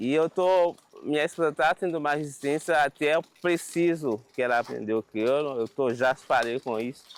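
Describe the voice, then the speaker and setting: The speaker has a Haitian Creole accent. The pace is moderate, with ordinary pitch variation. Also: man, fairly high pitch for a man. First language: Haitian Creole (speaking Portuguese). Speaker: Haitian immigrant. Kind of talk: documentary interview.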